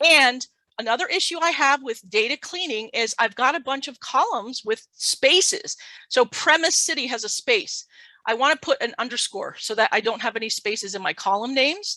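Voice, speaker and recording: Her voice is high-pitched, raised and projected, with a bright, sharp tone and lively intonation, spoken by a woman at a moderate pace. The sound is dry and close, with no echo. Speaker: data science lecturer. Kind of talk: technical tutorial talk.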